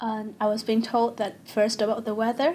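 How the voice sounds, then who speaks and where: On a very clean recording with a silent background, a woman with an unremarkable speaking voice talks at a moderate pace in a fairly high pitch. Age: 20s. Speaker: university student. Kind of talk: interview.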